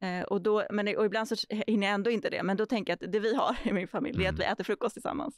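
A woman's fairly high voice at a very fast pace, with hardly any pauses, ordinary pitch variation, a dry sound with no echo and a quiet background. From Stockholm, Sweden (early years in Argentina). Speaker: urban planner and landscape architect; podcast guest. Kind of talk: podcast interview. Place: studio. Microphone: studio mic.

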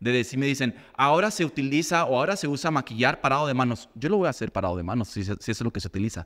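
A man talks at a very fast pace with hardly any pauses and very wide pitch swings. The background is quiet. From Guadalajara, Mexico. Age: 40s. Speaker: makeup artist and teacher; teacher. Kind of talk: casual chat. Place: studio. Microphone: studio mic.

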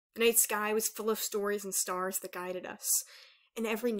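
Someone is reading aloud in a natural voice, keeping the intonation fairly even.

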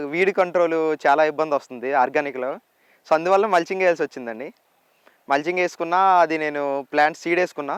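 Sounding dry and close with no echo, a man uses a plain, everyday voice at a fairly high pitch with ordinary pitch variation. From Andhra Pradesh, Vizianagaram district. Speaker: organic farmer. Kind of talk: interview. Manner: polite, English-mixed Telugu.

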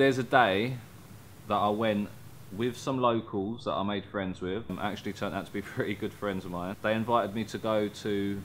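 With a British accent, a man speaks at a moderate pace. His pitch is fairly low and his intonation fairly even. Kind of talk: casual vlog talk to camera.

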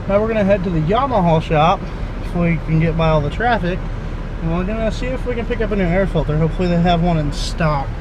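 Over noticeable background noise, a man talks at a very fast pace, his sound dry with no echo. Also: ordinary pitch variation. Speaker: vlogger. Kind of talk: casual vlog chat. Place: car. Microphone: phone near.

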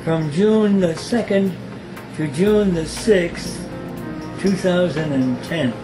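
Clear music plays behind a man with a high pitch and ordinary pitch variation. He speaks at a very slow pace, with long, frequent pauses. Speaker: Jesuit priest. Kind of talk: invitation message to alumni. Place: home room.

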